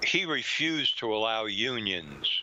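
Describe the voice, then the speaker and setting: Over noticeable background noise, a man with an American accent talks at a medium pitch with lively intonation. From New York. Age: 80s+. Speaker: author and researcher. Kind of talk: interview.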